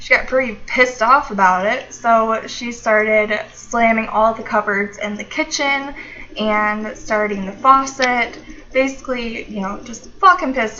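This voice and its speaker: Noticeable background noise sits behind a woman's fairly high voice. She speaks at a fairly slow pace with ordinary pitch variation. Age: 20s. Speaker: YouTuber. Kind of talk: casual talk to camera.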